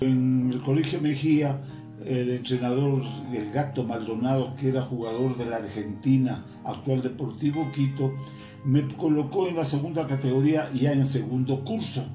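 Amid audible room echo and clear music in the background, a man talks at a fairly slow pace with fairly even intonation. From Quito, Ecuador. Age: 80s+. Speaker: retired footballer. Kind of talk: interview answer. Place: home room.

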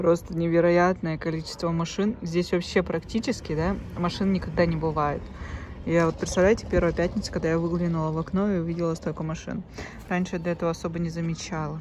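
A woman talks at a fairly quick pace in a fairly low, monotone, flat voice. The sound is dry with no echo, over light background noise. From Yakutsk, Russia; Russia. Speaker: vlogger and mother; vlogger. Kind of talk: casual vlog talk to camera. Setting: at home, bathroom. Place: home room. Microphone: phone near.

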